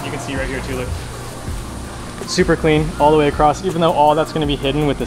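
A man is speaking. Music plays in the background. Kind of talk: casual explanation of work. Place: workshop.

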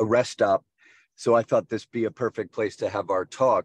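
A man's voice at a moderate pace, dry with no echo, against a quiet background. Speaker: guest. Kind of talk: interview answer. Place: car. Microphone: video call.

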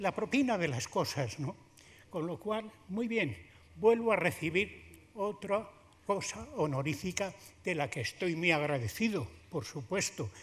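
A man with a high pitch speaks at a fairly slow pace, his voice making very wide pitch swings. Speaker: honoured sculptor. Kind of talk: short emotional thank-you speech. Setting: theatre stage with audience. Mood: grateful, warm, humorous. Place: hall. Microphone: podium.

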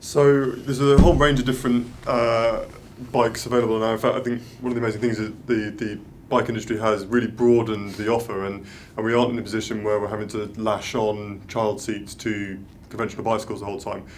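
Over light background noise, a man talks at a very fast pace in a monotone, flat intonation. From London. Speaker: cycling events officer; guest. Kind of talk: panel Q&A. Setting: live video stream. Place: meeting room.

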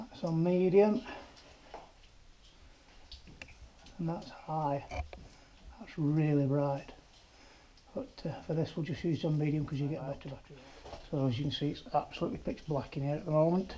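Speech moves at a moderate pace, broken by long, frequent pauses. Light background noise sits underneath. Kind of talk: casual vlog commentary. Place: tunnel cave. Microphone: camera far.

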